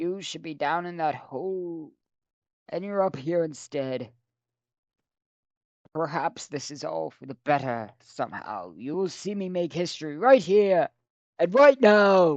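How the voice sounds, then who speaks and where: Using a put-on character voice, a man talks hoarsely at a high pitch and a fairly slow pace, with lively intonation, big swings in loudness, and long, frequent pauses. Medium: read story.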